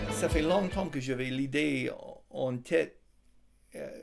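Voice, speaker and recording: Music plays behind a man whose fairly high voice holds a fairly even intonation. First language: English (speaking French). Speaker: Bible college teacher and author. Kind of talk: interview. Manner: hesitant, many fillers.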